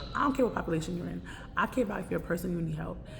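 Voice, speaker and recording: With music in the background and audible room echo, a woman talks at a very fast pace in a fairly low pitch. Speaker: vlogger, homeless advocate. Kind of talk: casual vlog monologue. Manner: speaking loud over surroundings.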